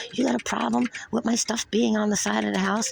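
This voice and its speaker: A woman with a New York accent, over noticeable background noise. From New York (Brooklyn). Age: 60s. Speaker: retired nurse reporting an assault. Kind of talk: police report interview.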